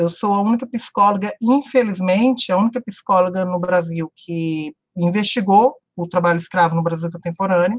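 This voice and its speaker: A woman's somewhat breathy, medium-pitched voice moves at a moderate pace with ordinary pitch variation. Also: dry, close sound with no echo. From Brazil, Brasília (Ceilândia). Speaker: psychologist and university professor. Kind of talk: interview.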